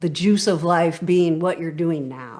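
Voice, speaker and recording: A woman with an unremarkable speaking voice, fairly low in pitch, with an American accent, at a moderate pace over a quiet background. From California. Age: 60s. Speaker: podcast guest, stress coach. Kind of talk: interview conversation.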